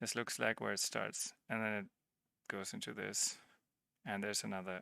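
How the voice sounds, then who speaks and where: A man with a non-native accent talks in a fairly low pitch, with vocal fry and lively intonation. His tone is bright and sharp, and the sound is dry and close with no echo. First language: not English. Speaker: livestreamer / tech hobbyist. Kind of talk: live-streamed tutorial. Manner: halting, with repeated false starts; casual, conversational.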